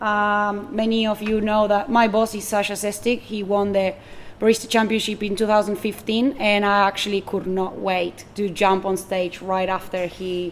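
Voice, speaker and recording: A woman with a Spanish accent, fairly even intonation and hardly any pauses. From Argentina. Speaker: barista and coffee buyer. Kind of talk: public talk.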